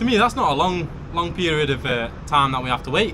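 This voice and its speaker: In a strong northern English accent, the speaker goes at a moderate pace with ordinary pitch variation, amid noticeable background noise and audible room echo. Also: man. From northern England. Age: 30s. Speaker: vlogger. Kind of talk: livestream chat. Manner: halting.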